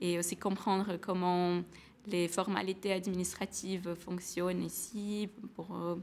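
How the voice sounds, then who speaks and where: In a Portuguese accent, a woman speaks very slowly at a medium pitch with monotone, flat intonation. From Brazil, São Paulo. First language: Portuguese (speaking French). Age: 20s. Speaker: former student, engineer. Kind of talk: testimony. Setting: webinar. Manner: halting, many hesitations.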